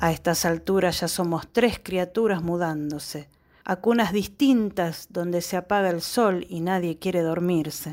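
A woman speaks at a fairly slow pace in a plain, everyday voice, her pitch fairly low and her intonation fairly even. The recording is very clean, with a silent background. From Argentina. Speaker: graphic designer and poet. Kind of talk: poetry reading.

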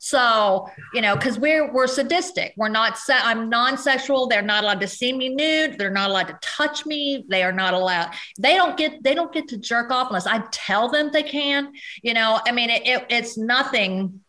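A woman with an American accent speaks at a moderate pace. Her high-pitched voice has lively intonation. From US Midwest and South (Cincinnati, southern Indiana, Kentucky, Tennessee). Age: 40s. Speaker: adult film performer. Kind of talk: casual interview chat.

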